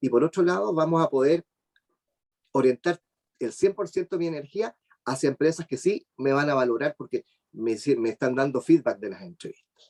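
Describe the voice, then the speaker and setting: A man with a Chilean accent and a fairly high pitch speaks with lively intonation and long, frequent pauses, the sound dry and close with no echo. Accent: Chilean, drops the s sounds. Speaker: job search speaker. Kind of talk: webinar talk. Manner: fast.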